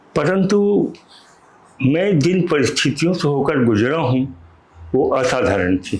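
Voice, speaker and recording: Holding very even loudness, a man swings very widely in pitch around a fairly high register. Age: 70s. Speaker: writer and motivational speaker. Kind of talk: interview. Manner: limited speech ability.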